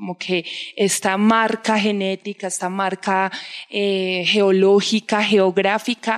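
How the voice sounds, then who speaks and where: A dry, close sound with no echo carries a woman speaking at a very slow pace with medium pitch and monotone, flat intonation. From Colombian provinces. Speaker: podcast host. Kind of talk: interview.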